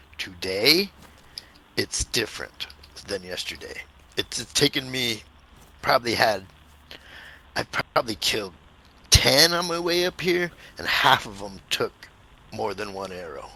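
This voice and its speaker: A man puts on a raspy character voice at a medium pitch. He talks at a moderate pace, with long, frequent pauses. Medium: game stream. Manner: excitable, laughing.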